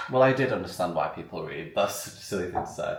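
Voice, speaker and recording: Noticeable background noise mixes with audible room echo throughout. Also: man. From northern England, Sheffield. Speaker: vlogger. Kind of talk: casual vlog chat. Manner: animated.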